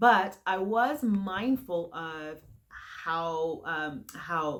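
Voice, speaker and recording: Her voice sits fairly low in pitch. This woman speaks with lively intonation. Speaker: leadership coach. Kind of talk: motivational talk to camera. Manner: conversational, with fillers.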